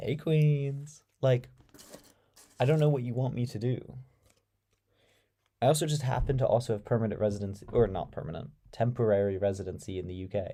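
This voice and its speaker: The tone is dark and mellow, with ordinary pitch variation. The pace is fairly quick, though long, frequent pauses break it up. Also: man, medium pitch for a man. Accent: American. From United States. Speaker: live-stream debate host. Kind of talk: casual live-stream chat, reading viewer comments. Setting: live stream. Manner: animated.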